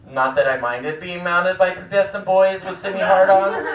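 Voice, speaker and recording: Noticeable background noise runs through this clip, along with audible echo from the room. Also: man. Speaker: stand-up comedian. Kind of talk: stand-up. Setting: stage with audience.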